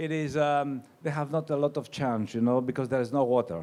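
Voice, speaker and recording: A man with a Greek accent and ordinary pitch variation, on a very clean recording with a silent background. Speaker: winemaker. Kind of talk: wine seminar talk. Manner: halting.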